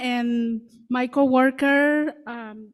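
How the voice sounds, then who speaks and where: Against a very clean recording with a silent background, a woman speaks at a high pitch with fairly even intonation. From Guatemala. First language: Mam. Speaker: community outreach worker. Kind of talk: public speech. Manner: halting.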